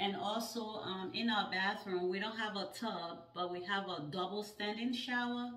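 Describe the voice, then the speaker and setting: With audible room echo, a woman speaks at a fairly slow pace and with ordinary pitch variation. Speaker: home decor vlogger. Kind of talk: casual vlog chat.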